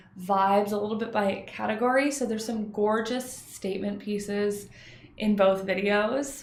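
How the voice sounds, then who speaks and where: Fairly even intonation from a woman at a fairly high pitch, amid audible room echo. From Canada. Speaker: tarot reader and psychic. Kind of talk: casual vlog show-and-tell.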